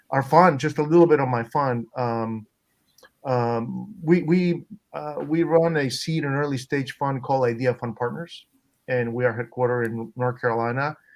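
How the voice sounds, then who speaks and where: Medium pitch from a male speaker, ordinary pitch variation, moderate pace. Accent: Spanish. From Peru. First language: Spanish. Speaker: venture capitalist. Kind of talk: panel discussion. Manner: halting, many fillers and repetitions.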